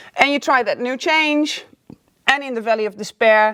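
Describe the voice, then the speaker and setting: This woman talks at a moderate pace. Her voice sits high, with lively intonation. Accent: non-native. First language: not English. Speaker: life coach. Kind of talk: video lesson. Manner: casual, upbeat.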